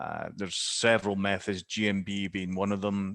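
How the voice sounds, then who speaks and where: A man talks with a Scottish accent. His pitch is fairly low and his pace fairly slow. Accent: Scottish, noticeable. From Scotland. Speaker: digital marketing specialist. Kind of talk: Q&A answer in webinar. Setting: video call. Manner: halting, many fillers.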